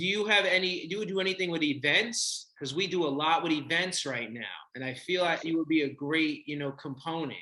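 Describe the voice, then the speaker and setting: A man talks at a fairly quick pace with hardly any pauses. His tone is bright and sharp, and his pitch varies in an ordinary way. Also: fairly high pitch for a man. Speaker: podcast host and entrepreneur. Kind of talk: podcast interview.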